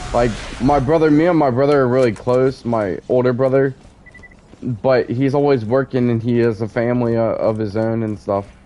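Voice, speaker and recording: Noticeable background noise runs under this recording. A man talks at a medium pitch and moderate pace with fairly even intonation. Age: 30s. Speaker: gamer streamer. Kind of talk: casual chat during gameplay stream. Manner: halting, filler-heavy.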